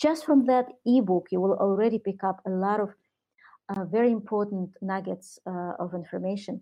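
A woman of medium pitch speaks with a Russian accent. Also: ordinary pitch variation, moderate pace. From Soviet Union. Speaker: entrepreneur and author. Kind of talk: interview. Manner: hesitant, many fillers.

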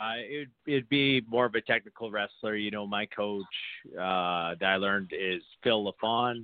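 Here is a plain, everyday voice: a man with a Canadian accent at a fairly low pitch. He talks at a moderate pace with ordinary pitch variation. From Saskatchewan, Canada. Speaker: pro wrestler. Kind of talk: casual interview.

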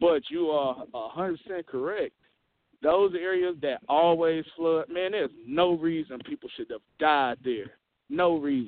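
Speaking with a Southern US accent, a man talks at a fairly slow pace, high in pitch with ordinary pitch variation. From Mississippi. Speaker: caller, refinery worker. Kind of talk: casual chat.

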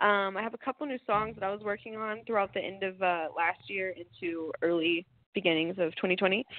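Her medium pitch showing ordinary variation, a woman with an American accent speaks at a moderate pace. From Texas, Amarillo. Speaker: singer-songwriter. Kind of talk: interview. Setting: phone call.

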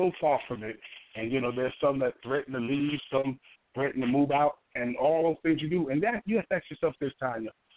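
Speaking at a fairly quick pace with an American accent, a man has a fairly high pitch, ordinary pitch variation, and a plain, everyday voice. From New York City (Harlem). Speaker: pastor and author. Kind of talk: radio interview.

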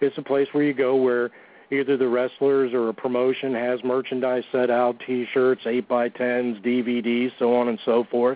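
The delivery is monotone and flat, moving at a moderate pace. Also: man, medium pitch for a man.

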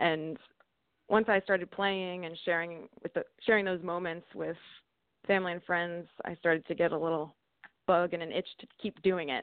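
A woman with a fairly low pitch uses an ordinary speaking voice at a moderate pace. Her intonation is fairly even, but her loudness swings widely. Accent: American. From Sussex County, northern New Jersey. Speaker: singer and musician. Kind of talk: casual interview.

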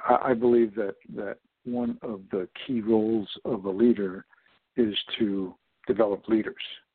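Fairly slow and monotone, a man speaks with flat intonation. He has an American accent and a medium pitch. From US Northeast, upstate New York. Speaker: executive coach. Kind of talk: radio interview. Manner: halting.

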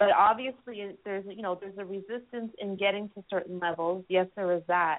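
A woman with a normal speaking voice, pitched in the middle range. She talks at a fairly quick pace with fairly even intonation. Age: 40s. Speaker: author and music critic. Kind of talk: interview.

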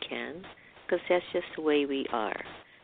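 A woman speaks over noticeable background noise. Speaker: radio host. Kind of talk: radio interview.

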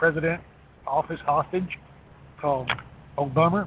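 A man with a high voice talks at a fairly slow pace with fairly even intonation. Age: 50s. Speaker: regular caller on political talk show. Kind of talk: casual political chat.

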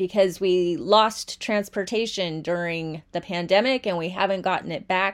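A woman's medium-pitched voice at a moderate pace, with hardly any pauses and ordinary pitch variation, in a very clean recording with a silent background. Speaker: podcast host and writer. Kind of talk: casual monologue. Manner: loud when excited.

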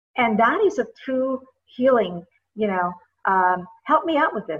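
At a fairly slow pace, a woman with a high voice swings very widely in pitch. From Indonesia. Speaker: podcast host. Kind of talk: interview. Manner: halting, many fillers.

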